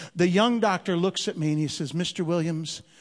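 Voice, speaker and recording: Against a quiet background, a man with an ordinary speaking voice talks at a moderate pace with ordinary pitch variation. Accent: American. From Chicago, US Midwest. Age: 50s. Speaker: comedian and missionary. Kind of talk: stand-up comedy with sermon-style preaching, heartfelt church message. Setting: church stage with live audience. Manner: punchy, mixing jokes with earnest exhortation.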